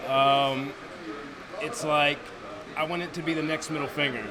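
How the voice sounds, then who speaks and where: With an American accent, a man speaks at a fairly quick pace and fairly high pitch in a monotone, flat intonation, with audible room echo and noticeable background noise. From US Northeast, New Jersey. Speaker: professional wrestler. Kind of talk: interview.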